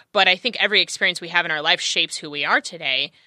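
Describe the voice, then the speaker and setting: Very fast and bright, sharp in tone, a woman with an American accent talks at a fairly low pitch in a dry, close sound with no echo. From California. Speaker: podcast guest. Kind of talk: casual chat. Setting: studio.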